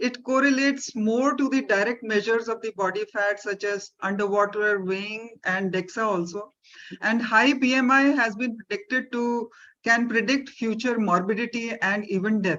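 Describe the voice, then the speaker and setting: A woman speaks in an Indian accent at a fairly high pitch. Her pace is moderate, and her pitch varies in an ordinary way. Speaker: doctor. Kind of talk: webinar panel answer. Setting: video call. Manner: formal.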